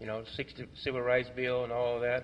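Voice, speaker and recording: A man with a Mississippi accent speaks at a medium pitch. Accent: Southern US (Mississippi). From Clarksdale, Mississippi. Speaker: Vietnam veteran, foundation co-director. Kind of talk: library talk, oral history book discussion. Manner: hesitant, conversational.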